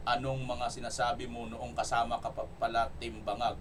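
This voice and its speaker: There is noticeable background noise. A man talks at a medium pitch and a moderate pace. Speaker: political commentary vlogger. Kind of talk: political commentary vlog with comment reading. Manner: loud, energetic. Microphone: no microphone, voice quieter.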